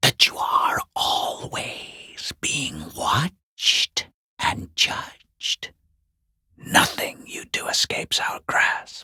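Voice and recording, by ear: Whispering in a put-on character voice, a man goes very slowly in a dry, close sound with no echo.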